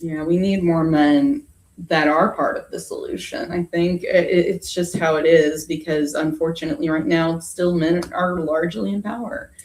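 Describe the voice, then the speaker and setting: In a normal speaking voice, a woman talks at a moderate pace and fairly low pitch with ordinary pitch variation. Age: 30s. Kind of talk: casual interview chat.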